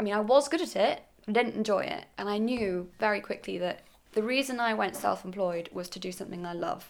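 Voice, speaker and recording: The speaker is a woman with lively intonation. She talks at a fairly quick pace. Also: medium pitch for a woman. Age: 20s. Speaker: fashion photographer. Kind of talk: interview. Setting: at home with dog nearby.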